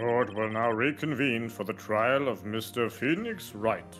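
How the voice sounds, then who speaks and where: Over clear music in the background, a man uses a put-on character voice at medium pitch and a moderate pace. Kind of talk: formal courtroom speech. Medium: virtual streamer.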